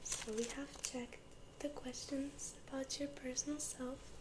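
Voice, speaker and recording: Someone whispers in a soft-spoken way at a very even loudness. Noticeable background noise is present. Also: woman. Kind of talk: ASMR interview-style personal questions to camera. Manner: soft-spoken, whispering.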